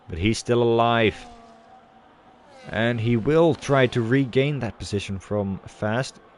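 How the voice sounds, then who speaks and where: A man speaks slowly-ish at a medium pitch, with ordinary pitch variation. His long pauses come often, and music plays behind him. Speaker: sim racing league commentator. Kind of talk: live commentary. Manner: animated.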